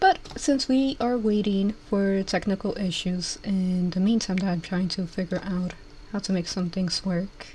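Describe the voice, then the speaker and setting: A woman talks fairly slowly at a medium pitch. Her pitch varies in an ordinary way, and background noise is noticeable. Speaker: vtuber streamer. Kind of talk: casual chat. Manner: hesitant.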